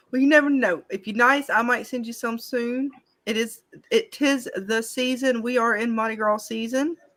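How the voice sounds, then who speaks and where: The speaker has a Southern accent and keeps the intonation fairly even. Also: woman, high pitch for a woman, moderate pace. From Alabama. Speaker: live stream host. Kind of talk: casual chat.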